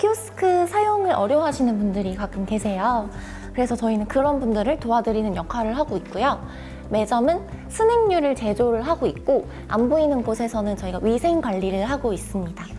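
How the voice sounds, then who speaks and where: Over background music, a woman with a fairly high pitch speaks fairly quickly, her intonation lively. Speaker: cinema operations analyst, former cinema part-time staff. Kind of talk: interview answer.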